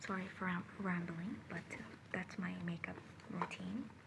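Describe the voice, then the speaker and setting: Calm in tone, a woman talks at a fairly slow pace with a medium pitch over noticeable background noise. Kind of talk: ASMR personal attention roleplay, makeup routine. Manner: soft-spoken, calm.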